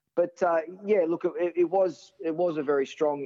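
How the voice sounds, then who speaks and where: A man speaks with an Australian accent and ordinary pitch variation. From Sydney, Australia. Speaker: former first-class cricketer. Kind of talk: interview.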